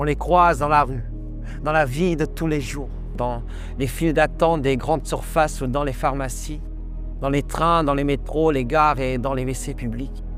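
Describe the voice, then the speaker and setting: With music in the background, a man speaks at a fairly slow pace in a fairly high pitch and a monotone, flat intonation. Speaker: slam poet. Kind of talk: slam poetry performance.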